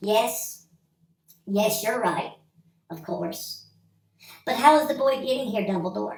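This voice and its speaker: A put-on character voice that sounds female, fairly high-pitched, comes at a fairly slow pace with long, frequent pauses and a slight echo. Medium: read story. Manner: brisk, indignant.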